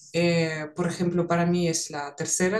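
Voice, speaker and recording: A woman with a Russian accent talks at a fairly slow pace in a fairly low pitch. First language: Russian (speaking Spanish). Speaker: psychologist and language teacher. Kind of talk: conversational podcast.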